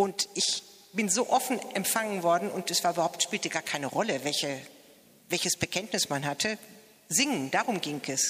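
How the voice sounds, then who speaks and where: This woman has an ordinary speaking voice, fairly low in pitch. She talks at a moderate pace with lively intonation. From Mettingen, Westphalia, Germany. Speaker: church choir member. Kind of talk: interview at a celebration.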